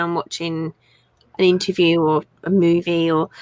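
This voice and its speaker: A woman with an English accent is heard in a dry, close recording with no echo. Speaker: crafter and online seller. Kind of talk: live stream chat with product show. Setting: live stream. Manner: telephone voice on streams.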